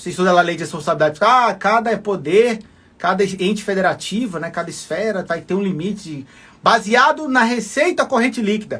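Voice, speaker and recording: At a fairly quick pace, a man with a high pitch speaks in a bright, sharp tone with lively intonation. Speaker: law and public finance teacher for civil service exams. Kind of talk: live-streamed lecture. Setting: live stream from home desk.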